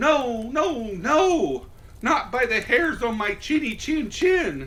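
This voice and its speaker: A man's put-on character voice, extremely high in pitch, at a very slow pace. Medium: read story. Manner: defiant.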